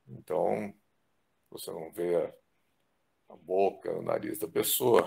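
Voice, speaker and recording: A man at a very slow pace. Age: 60s. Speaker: physician. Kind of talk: testimony.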